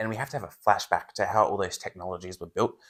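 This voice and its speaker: Recorded very cleanly against a silent background, a man with an Australian accent speaks at a fairly low pitch. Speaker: book reviewer, channel host. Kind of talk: casual chat.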